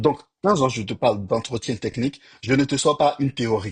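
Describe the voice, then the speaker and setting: The somewhat breathy voice moves at a moderate pace with ordinary pitch variation, recorded with a dry, close sound and no echo. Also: man. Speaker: software engineer and career coach YouTuber. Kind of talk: tutorial-style advice talk to camera. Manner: casual with fillers, hesitations.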